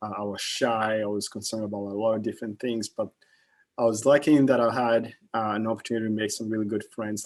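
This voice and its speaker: Talking at a very fast pace, a man with a slight Kenyan accent uses a fairly low pitch and monotone, flat intonation. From Kenya, Nairobi. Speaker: investment manager. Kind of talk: guest talk to students. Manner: halting, many fillers.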